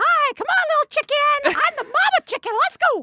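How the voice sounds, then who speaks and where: In a put-on character voice, a female-sounding speaker goes at a moderate pace with extremely high pitch. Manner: clucking, playful.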